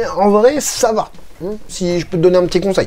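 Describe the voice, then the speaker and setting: A woman speaks in a medium pitch at a fairly slow pace. Her pitch varies in an ordinary way. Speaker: figure collector youtuber. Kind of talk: video review with reading of comments. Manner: hesitant, many fillers and repetitions.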